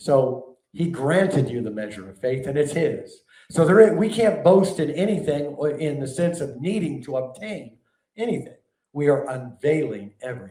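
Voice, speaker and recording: A man speaks at a moderate pace in a fairly high voice that is dark, mellow and somewhat breathy. His pitch swings very widely, and his loudness rises and falls sharply. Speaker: preacher and teacher. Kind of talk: sermon-style teaching.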